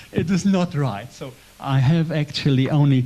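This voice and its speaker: A man's somewhat breathy voice with a German accent, dark and mellow in tone, at a moderate pace. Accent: German accent, noticeable. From German community in Poland. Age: 70s. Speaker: church guest speaker. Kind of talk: testimony. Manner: halting; gentle.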